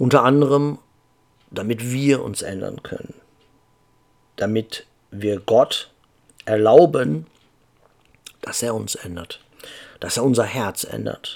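Speaking very slowly with long, frequent pauses, a man lets his loudness swing widely. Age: 50s. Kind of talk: casual monologue.

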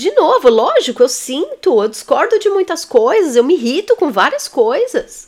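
Her pitch swings very widely. A woman is speaking at a moderate pace. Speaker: therapist and teacher. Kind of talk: online lesson.

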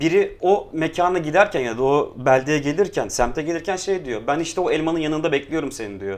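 Fairly quick and lively in intonation, a man speaks in an ordinary speaking voice at a fairly high pitch. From Istanbul, Kurtuluş. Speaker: street artist and illustrator. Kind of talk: casual chat.

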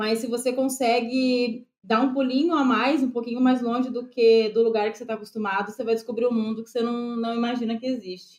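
Hardly pausing, a woman talks at a fairly quick pace in a high pitch with monotone, flat intonation. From Brazil. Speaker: travel content creator. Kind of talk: casual interview.

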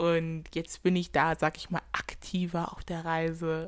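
A woman speaks fairly slowly with an animated tone. Her pitch sits fairly low. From Germany. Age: 20s. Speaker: podcast host, student. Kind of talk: casual monologue.

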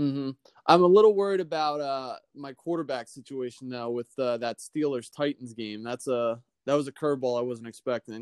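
A man with a normal speaking voice talks at a fairly quick pace, with medium pitch and ordinary pitch variation. The sound is dry and close with no echo, over a quiet background. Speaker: fantasy football league player. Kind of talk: casual chat.

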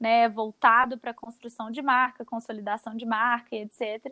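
Heard dry and close with no echo, a woman's bright, sharp tone comes through a very clean recording against a silent background. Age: 20s. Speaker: fashion content creator. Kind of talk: casual interview.

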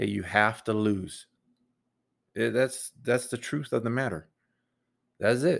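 A man speaks at a fairly slow pace with ordinary pitch variation and some vocal fry. His long, frequent pauses sit in a very clean recording with a silent background. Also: medium pitch for a man. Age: 40s. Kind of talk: solo monologue podcast. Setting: home room with computer. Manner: says um a lot.

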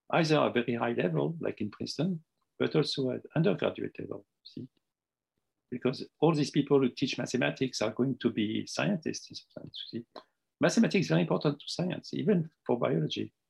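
With a French accent, the voice swings very widely in pitch and shows vocal fry. The pace is fairly quick, and the sound is dry and close with no echo. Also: man, medium pitch for a man. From Tunisia and Morocco. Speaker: retired mathematics professor. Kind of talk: interview. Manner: halting.

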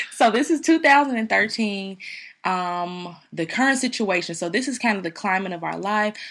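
An ordinary speaking voice with lively intonation moves at a fairly slow pace. The recording is very clean with a silent background. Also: woman, medium pitch for a woman. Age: 30s. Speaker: podcast co-host. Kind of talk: casual chat.

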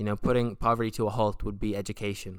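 A man with an Irish accent at a medium pitch, in a very clean recording with a silent background. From Republic of Ireland. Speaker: podcast host. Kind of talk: casual solo monologue. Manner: animated.

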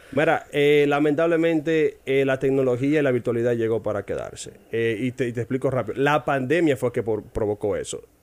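Using a plain, everyday voice, a man talks at a fairly quick pace with hardly any pauses, medium pitch and ordinary pitch variation. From Dominican Republic, Barahona. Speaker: English teacher. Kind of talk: casual interview chat.

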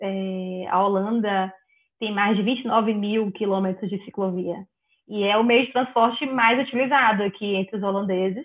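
A woman with a plain, everyday voice, medium pitch and fairly even intonation, at a fairly slow pace. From Bahia, Brazil. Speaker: biologist moving into software development. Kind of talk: casual interview.

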